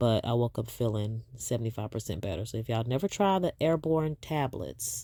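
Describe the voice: A woman with an extremely low pitch and a dark, mellow tone speaks at a moderate pace with ordinary pitch variation, in a very clean recording with a silent background.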